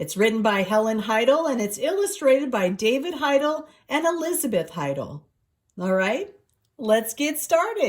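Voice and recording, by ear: Against a quiet background, someone is reading aloud in a natural voice, the intonation lively.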